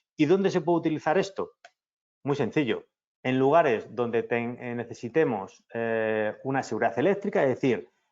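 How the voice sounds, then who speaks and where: A man at a medium pitch talks with very wide pitch swings. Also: moderate pace. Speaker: engineer, company representative. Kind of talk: technical webinar lecture. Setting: virtual conference. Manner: frequent filler hesitations (eh).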